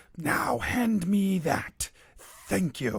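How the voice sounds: The voice is an exaggerated, put-on character. It belongs to a man and sits high.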